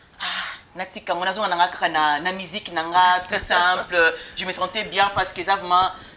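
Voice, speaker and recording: At a moderate pace, a woman speaks in a medium-pitched, monotone, flat voice against noticeable background noise. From German-speaking Switzerland. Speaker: talk show host. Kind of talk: interview.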